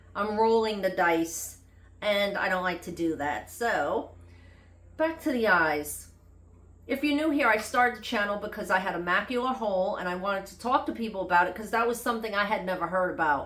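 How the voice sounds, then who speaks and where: Speaking at a fairly quick pace with lively intonation, a woman with a New York accent is heard over noticeable background noise and audible room echo. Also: medium pitch for a woman. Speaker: health vlogger. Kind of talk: casual vlog monologue. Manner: unscripted, conversational.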